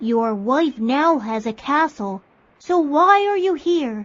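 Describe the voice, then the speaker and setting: A female-sounding voice speaks in a put-on character voice at a high pitch. The pace is fairly slow. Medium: read story. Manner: formal, brief.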